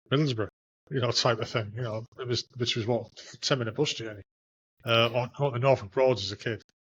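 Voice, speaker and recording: This man speaks with a northeast English accent. His intonation stays fairly even. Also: medium pitch for a man. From Hartlepool, northeast England. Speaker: podcast host, army veteran. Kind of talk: casual interview chat.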